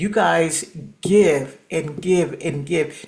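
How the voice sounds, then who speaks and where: Noticeable background noise and audible room echo accompany a woman whose very deep, low voice shows ordinary pitch variation. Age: 60s. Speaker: coaching program participant. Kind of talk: casual chat. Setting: video call.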